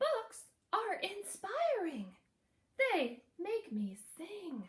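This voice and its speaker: Using a put-on character voice, a woman projects at an extremely high pitch, raised and very slow. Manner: sweet, chirpy storybook bird voice.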